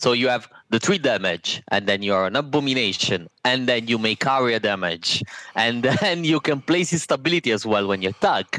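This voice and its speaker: A man with an Italian accent talks at a moderate pace and medium pitch, with lively intonation. His tone is bright and sharp, his loudness very even, and the sound dry and close with no echo. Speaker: board game designer. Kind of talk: interview.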